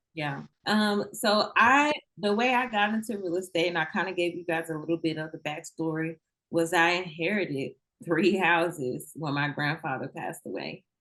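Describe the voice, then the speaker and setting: A woman speaks at a moderate pace with a slight Southern US accent. Her fairly low voice has a bright, sharp tone and ordinary pitch variation. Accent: slight Southern country. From Mississippi, US South. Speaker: federal agent and real estate investor. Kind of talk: interview.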